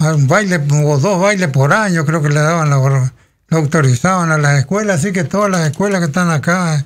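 A man's fairly high voice, a plain, everyday voice, at a moderate pace with ordinary pitch variation. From Federación, Entre Ríos, Argentina; Entre Ríos, Argentina. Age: 60s. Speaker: local resident sharing life memories; radio interview guest. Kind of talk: radio interview, reminiscing. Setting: radio studio. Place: studio. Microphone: studio mic.

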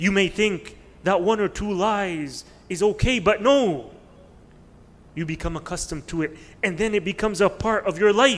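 Fairly slow speech from a man with a high voice and ordinary pitch variation. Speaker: religious teacher. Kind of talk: sermon. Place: hall. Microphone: podium.

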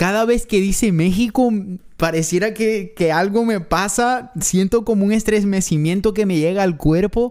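A man speaks in an animated tone with a high pitch. His pace is fairly slow against a quiet background. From not Mexico, foreign to Mexico. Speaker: reaction youtuber. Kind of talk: reaction video, casual commentary. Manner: emotional, moved, animated. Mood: moved, emotional. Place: home room. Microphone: studio mic.

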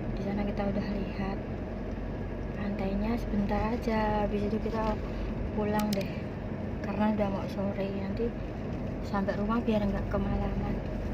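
A woman at a moderate pace, with long, frequent pauses over loud background noise. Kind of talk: casual vlog chat. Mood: relaxed, cheerful. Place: car. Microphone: phone near.

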